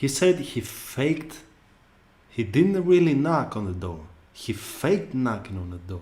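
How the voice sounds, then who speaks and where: A somewhat breathy man with a non-native accent and a dark, mellow tone, at a fairly slow pace, with very wide pitch swings and big swings in loudness. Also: medium pitch for a man. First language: not English. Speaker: YouTube reactor. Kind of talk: casual reaction commentary. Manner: animated.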